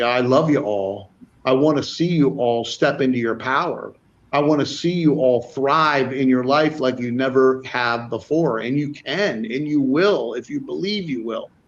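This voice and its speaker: A man speaks with a fairly high pitch and ordinary pitch variation. His pace is fairly slow. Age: 60s. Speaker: spiritual wellness podcast co-host. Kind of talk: casual chat. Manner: animated; halting.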